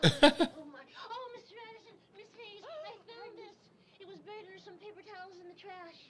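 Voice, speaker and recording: A woman does a squeaky, put-on character voice at an extremely high pitch. She goes at a moderate pace against clear background noise. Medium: short film. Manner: nervous, eager.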